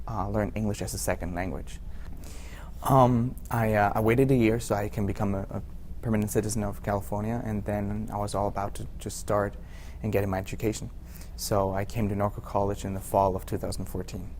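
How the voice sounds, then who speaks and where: Talking at a fairly quick pace, a man with a German accent uses a fairly low pitch with vocal fry, and audible room echo is present. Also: ordinary pitch variation. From Germany, Hamburg. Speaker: college student. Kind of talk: interview. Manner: halting.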